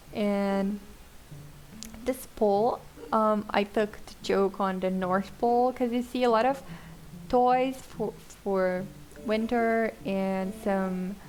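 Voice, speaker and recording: A woman speaks very slowly in a medium pitch, with a Portuguese accent. Her intonation stays fairly even, broken by long, frequent pauses. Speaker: gaming YouTuber. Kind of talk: voiceover commentary on gameplay. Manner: casual, relaxed.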